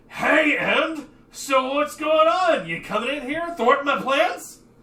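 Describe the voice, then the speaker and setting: A put-on character voice at a high pitch comes at a fairly slow pace with audible echo. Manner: confrontational, thwarted.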